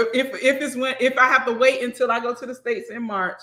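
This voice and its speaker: Speaking at a fairly quick pace, a woman with a Southern US accent uses a high pitch and an animated tone. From US South. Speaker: accountant and business owner. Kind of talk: casual interview chat. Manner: animated, conversational.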